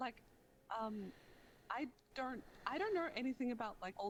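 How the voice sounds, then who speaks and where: Speaking at a moderate pace with lively intonation, a woman with a high pitch talks in an Australian accent. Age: 20s. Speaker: streamer. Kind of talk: casual interview chat.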